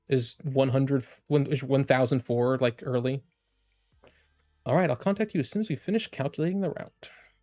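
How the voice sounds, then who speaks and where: A man's fairly high, fairly quick voice with lively intonation, dry and close with no echo, music in the background. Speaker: streamer reacting to game story. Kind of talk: live stream game reaction. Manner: casual, rambling with many fillers.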